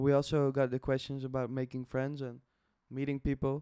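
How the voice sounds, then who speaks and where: A man's fairly high voice with a non-native accent and a dark, mellow tone, dry and close with no echo, in a very clean recording with a silent background. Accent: foreign. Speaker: podcast host. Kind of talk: casual chat.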